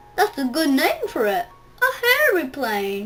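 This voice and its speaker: A woman performs a put-on character voice at extremely high pitch. Her pitch swings very widely over faint background music. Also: fairly slow pace. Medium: read story.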